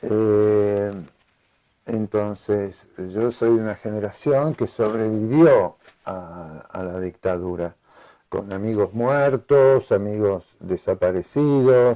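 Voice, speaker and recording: A dark, mellow tone comes through at a very slow pace against a quiet background. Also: man, fairly low pitch for a man, ordinary pitch variation. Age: 70s. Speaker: writer. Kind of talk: interview. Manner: hesitant, many filler sounds.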